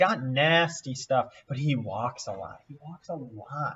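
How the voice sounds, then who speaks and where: A somewhat breathy man with lively intonation. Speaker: fantasy baseball content creator. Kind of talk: casual screen-share analysis. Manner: thinking aloud with fillers; mumbling.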